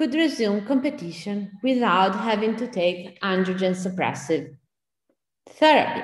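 In a room with audible echo, a somewhat breathy woman speaks fairly slowly with lively intonation. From Italy. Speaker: bioethicist. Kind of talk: Q&A discussion; lecture. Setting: pre-recorded video.

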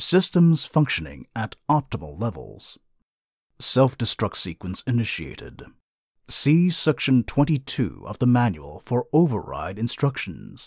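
Using a put-on character voice, a man at medium pitch speaks at a fairly slow pace on a very clean recording with a silent background. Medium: dub. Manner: cold, mechanical.

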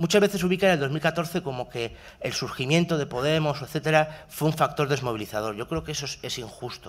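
A man with an ordinary speaking voice talks at a fairly quick pace with hardly any pauses. His pitch is fairly high with ordinary variation. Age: 30s. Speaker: university researcher; speaker. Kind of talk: talk at a workshop panel. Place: hall. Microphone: podium.

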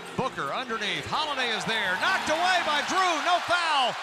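Over loud background noise, a man with an American accent talks at an extremely high pitch and a moderate pace, with lively intonation and a dry sound with no echo. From Texas. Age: 60s. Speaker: radio play-by-play broadcaster. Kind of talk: live basketball radio play-by-play. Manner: excited, dramatic. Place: booth.

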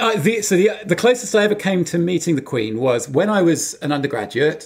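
With an English accent, a man speaks at a moderate pace. His pitch swings very widely. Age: 40s. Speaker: podcast co-host. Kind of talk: casual chat. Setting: video call.

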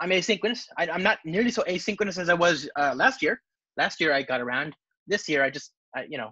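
Against a quiet background, a man talks in a bright, sharp tone with very wide pitch swings, the sound dry with no echo. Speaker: presenter. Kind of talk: conference talk. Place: home room.

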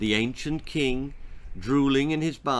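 What we hear is plain reading aloud, nothing more.

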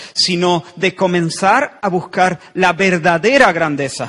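The voice here is a man's. It sits high in pitch. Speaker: pastor. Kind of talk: sermon. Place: church. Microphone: handheld.

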